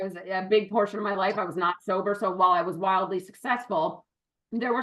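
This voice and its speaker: A woman with an American accent speaks loudly at a very fast pace. Her tone is animated and her pitch is medium. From western Massachusetts. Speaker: business partner. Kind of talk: interview. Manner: loud, projecting.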